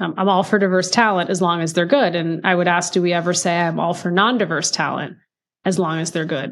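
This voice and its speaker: A woman with an unremarkable speaking voice, fairly low-pitched and fairly quick, with fairly even intonation. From United States, child of Indian immigrants. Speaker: DEI executive and author. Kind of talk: interview conversation.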